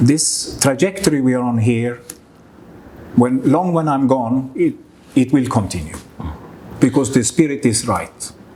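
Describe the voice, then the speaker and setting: The speech moves at a fairly slow pace with ordinary pitch variation. Long, frequent pauses break it up over noticeable background noise. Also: man, medium pitch for a man. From Sweden. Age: 60s. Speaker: business owner. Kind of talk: interview.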